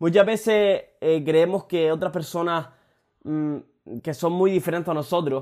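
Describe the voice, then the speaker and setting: On a very clean recording with a silent background, a high-pitched man talks at a fairly slow pace with long, frequent pauses. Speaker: motivational podcaster. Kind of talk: motivational monologue. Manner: casual, frequent swearing.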